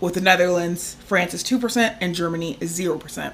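A woman of medium pitch talks fairly slowly in an unremarkable speaking voice, using ordinary pitch variation. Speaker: podcast co-host. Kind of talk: angry rant about medical bills. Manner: casual, chatty.

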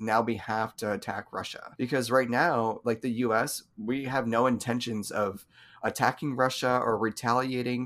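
Here is an ordinary speaking voice from a man at medium pitch and moderate pace. His intonation is fairly even on a very clean recording with a silent background. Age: 20s. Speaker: podcast co-host. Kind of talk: casual chat.

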